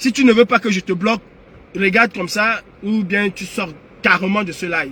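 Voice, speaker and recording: With noticeable background noise, a man uses a raised, projected voice in an animated tone, speaking at a fairly slow pace and a high pitch with ordinary pitch variation. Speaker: political activist livestreamer. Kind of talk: live stream monologue. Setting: online live stream. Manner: loud; animated, raises voice.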